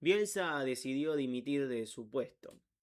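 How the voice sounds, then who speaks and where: A man's fairly high pitch at a very slow pace. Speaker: football YouTuber. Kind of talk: unedited narration of a biography with asides. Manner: halting, stumbles over words.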